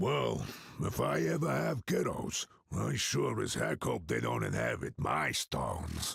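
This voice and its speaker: A man puts on a raspy character voice with a very deep, low pitch and very even loudness, at a fairly slow pace. The sound is dry and close, with no echo. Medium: video game. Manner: folksy, gruff.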